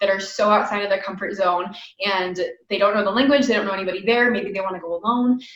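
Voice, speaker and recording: Audible room echo surrounds a woman with an American accent. Her pitch is medium, with ordinary variation. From United States. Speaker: podcast host. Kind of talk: interview. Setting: video call.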